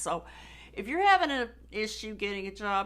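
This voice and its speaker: A woman at medium pitch with an American accent, vocal fry, and a moderate pace. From United States. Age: old. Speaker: job seeker testimonial. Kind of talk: testimony.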